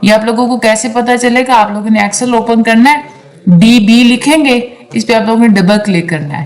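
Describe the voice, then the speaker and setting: The speech moves at a moderate pace with ordinary pitch variation, heard through noticeable background noise and audible room echo. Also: woman, fairly high pitch for a woman. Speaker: online tutor. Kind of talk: lecture. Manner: casual explanatory.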